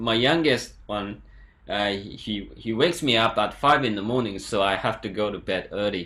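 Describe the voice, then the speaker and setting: A plain, everyday voice from a man, moderately paced, with ordinary pitch variation. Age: young. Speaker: YouTube interviewer. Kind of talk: interview.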